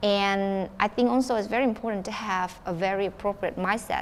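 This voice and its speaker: A woman speaks at a medium pitch with a Vietnamese accent. Her pitch varies in an ordinary way, and the recording is very clean with a silent background. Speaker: student council member. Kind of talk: town hall panel discussion. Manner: halting.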